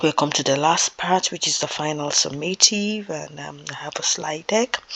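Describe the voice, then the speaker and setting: A woman with a very deep, low pitch speaks at a fairly slow pace over noticeable background noise. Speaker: teacher. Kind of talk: lecture. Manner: soft-spoken; halting.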